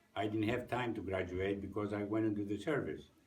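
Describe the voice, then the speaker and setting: Heard with audible room echo, a man with a Greek accent speaks at a fairly low pitch. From Greece. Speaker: war veteran. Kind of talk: interview testimony. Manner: halting, many fillers.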